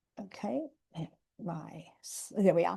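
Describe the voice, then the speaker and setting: In a quiet setting, a woman with an Australian accent talks fairly slowly at a medium pitch, her tone dark and mellow. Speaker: educational program director, presenter. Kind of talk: webinar presentation. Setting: video call webinar with screen sharing.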